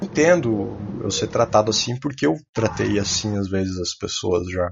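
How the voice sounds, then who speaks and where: Here a man talks at a moderate pace. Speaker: podcast co-host. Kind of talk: casual chat.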